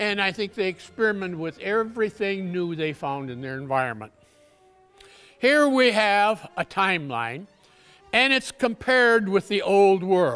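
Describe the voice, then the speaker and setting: With faint music in the background, a man speaks at a moderate pace in a high pitch. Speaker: conference presenter. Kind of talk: lecture. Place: hall.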